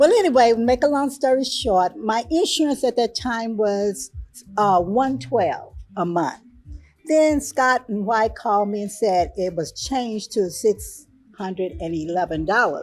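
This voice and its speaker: Music in the background behind a woman's fairly high voice, very wide pitch swings and a fairly slow pace. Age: 60s. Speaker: breast cancer survivor. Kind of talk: testimony.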